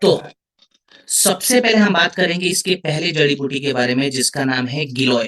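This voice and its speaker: A man talks at a very slow pace. His tone is bright and sharp. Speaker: product trainer. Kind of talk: online training session.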